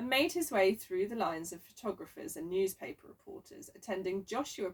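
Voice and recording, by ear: The speaker is reading aloud in a natural voice. The text is spoken out loud.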